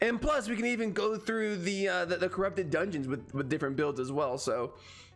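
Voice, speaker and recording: Over music in the background, a man speaks at a fairly quick pace. His intonation is lively. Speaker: gaming YouTuber. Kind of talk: gameplay commentary. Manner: fast, repetitive; casual.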